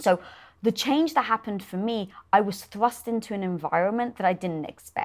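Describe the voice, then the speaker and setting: This woman speaks with a British accent at a moderate pace, her pitch medium with ordinary variation. The recording is very clean, with a silent background. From Britain. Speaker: entrepreneur and show host. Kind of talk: interview conversation.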